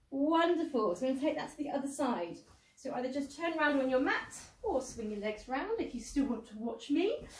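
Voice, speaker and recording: Audible room echo surrounds a woman speaking fairly quickly in a high pitch with lively intonation. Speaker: pilates instructor. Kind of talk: exercise class instruction.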